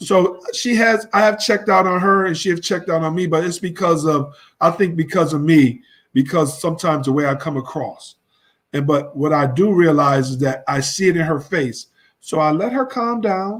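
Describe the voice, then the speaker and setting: A loud man at high pitch and a moderate pace, with ordinary pitch variation, on a very clean recording with a silent background. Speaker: married husband sharing his story. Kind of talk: testimony.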